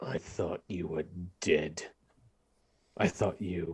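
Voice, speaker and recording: A man puts on a gruff, growling character voice with a very deep, low pitch. He speaks at a very slow pace. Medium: actual play.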